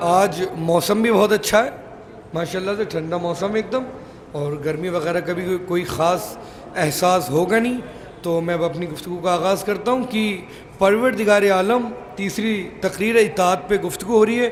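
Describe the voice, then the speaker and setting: Over noticeable background noise and audible room echo, a man talks at a fairly slow pace in a high pitch with ordinary pitch variation. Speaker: Shia cleric giving a Muharram majlis sermon. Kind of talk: sermon. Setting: religious gathering with audience. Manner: formal.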